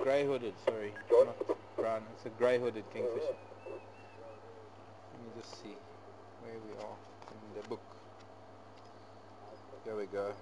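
Amid noticeable background noise, a man speaks at a fairly slow pace with long, frequent pauses. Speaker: safari guide. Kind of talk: live nature commentary. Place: open country.

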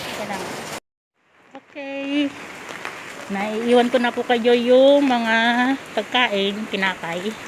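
With crowd noise in the background, a woman speaks in a high pitch, leaving long, frequent pauses. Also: ordinary pitch variation. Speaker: vlogger, domestic worker. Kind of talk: casual vlog narration. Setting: outdoors in the rain. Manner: animated.

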